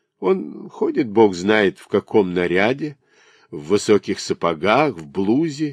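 Natural-sounding reading voice.

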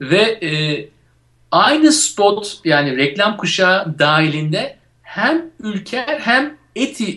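Very wide pitch swings mark this man's speech. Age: 40s. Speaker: radio show co-host. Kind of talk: casual chat.

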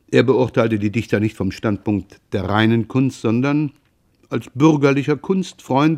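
The recording has a quiet background. It features an unforced reading voice.

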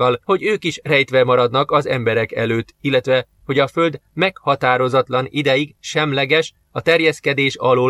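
An unforced reading voice over a quiet background

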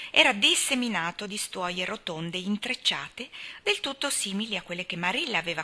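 Here someone reads in a natural voice.

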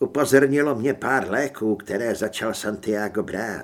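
A natural reading voice shows ordinary variation in pitch.

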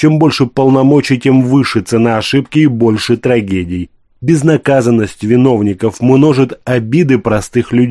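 The pitch varies in an ordinary way across an unforced reading voice.

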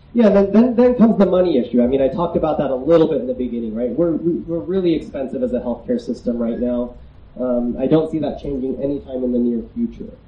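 Talking at a very fast pace, a man with a fairly high pitch swings his pitch very widely amid audible room echo. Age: 30s. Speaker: psychiatrist. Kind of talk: lecture. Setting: outdoor festival tent with audience.

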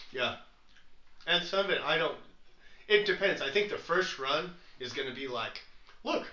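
The speaker talks at a moderate pace with lively intonation and long, frequent pauses. Room echo is audible. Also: man, high pitch for a man. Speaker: podcast co-host. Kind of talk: casual chat.

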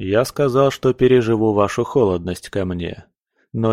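Quiet surroundings for an unforced reading voice

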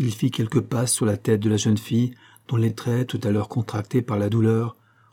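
Reading aloud in a natural voice. The intonation is fairly even.

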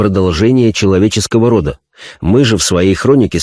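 Over a quiet background, the speaker reads aloud plainly with ordinary pitch variation.

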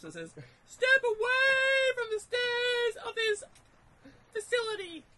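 Someone puts on a character voice pitched extremely high. The words come out very slowly. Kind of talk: public speech to a crowd, reading the riot act. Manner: threatening, then pleading.

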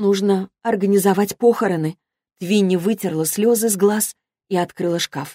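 A natural reading voice comes through, and the background is quiet.

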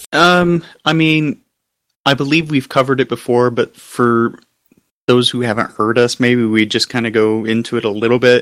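On a very clean recording with a silent background and a dry, close sound with no echo, a man of medium pitch with a plain, everyday voice talks at a moderate pace with ordinary pitch variation. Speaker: podcast co-host and author. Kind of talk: casual chat.

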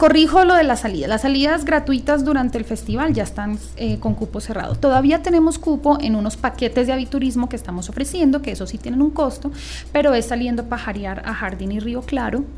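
This woman speaks fairly quickly while music plays behind her. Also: hardly any pauses. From Bogotá, Colombia. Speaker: ornithology society director. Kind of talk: radio interview.

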